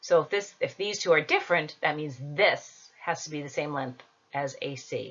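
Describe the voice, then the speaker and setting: A woman's normal speaking voice at a moderate pace, with lively intonation. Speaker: school teacher. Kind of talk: homework tutorial.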